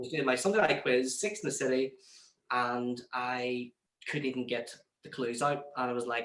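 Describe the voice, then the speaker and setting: In a Northern Irish accent, a man with a medium pitch speaks at a moderate pace with fairly even intonation. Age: 20s. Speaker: radio presenter. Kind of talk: interview.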